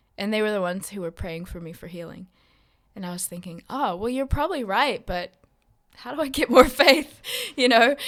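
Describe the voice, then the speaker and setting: Speaking at a fairly quick pace, a woman with an American accent makes very wide pitch swings. Her loudness also swings widely. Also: fairly high pitch for a woman. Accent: American-sounding. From West Papua, Indonesia (missionary kid, American schools), then South Island NZ. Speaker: missionary. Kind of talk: casual chat.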